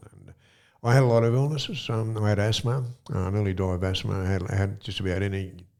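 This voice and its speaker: Audible room echo surrounds a man speaking at a very fast pace. His fairly low voice shows ordinary pitch variation and big swings in loudness. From Australia, Sydney. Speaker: former bank robber and author. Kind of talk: interview, life story. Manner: hesitant, many fillers and repeats.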